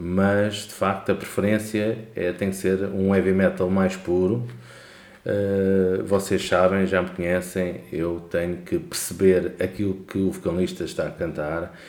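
Audible room echo surrounds a man with a very deep, low pitch. He speaks at a fairly slow pace in a monotone, flat intonation. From Portugal, Lisbon area. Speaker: podcast co-host. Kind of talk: casual chat.

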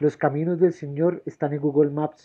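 This man's voice sits fairly high in pitch and stays monotone and flat. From Colombia, Bucaramanga. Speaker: poet. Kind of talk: poetry reading.

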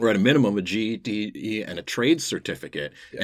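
Vocal fry marks a man's voice at a fairly quick pace, on a very clean recording with a silent background. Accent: American. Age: middle-aged. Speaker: podcast host. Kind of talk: interview.

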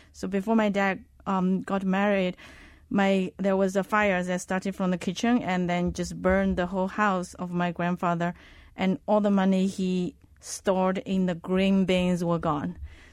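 In a Chinese accent, a woman with a medium-pitched voice speaks at a moderate pace in a monotone, flat way, recorded very cleanly against a silent background. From Zhejiang, China. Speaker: fund manager and researcher. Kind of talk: casual interview.

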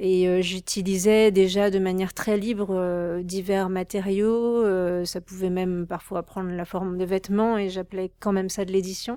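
The voice comes in a dark, mellow tone with monotone, flat intonation and hardly any pauses. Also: woman, medium pitch for a woman, fairly slow pace. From Paris suburbs, France. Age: 30s. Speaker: artist. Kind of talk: interview. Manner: halting, many fillers.

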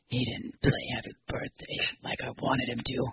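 Someone doing a put-on character voice speaks at a moderate pace with a raspy sound. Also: man, medium pitch for a man. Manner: gruff, domineering.

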